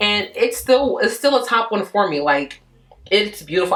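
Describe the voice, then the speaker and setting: A woman in an animated tone at a fairly quick pace with very wide pitch swings, over noticeable background noise. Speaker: beauty vlogger. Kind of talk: product review talk-through. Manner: fast.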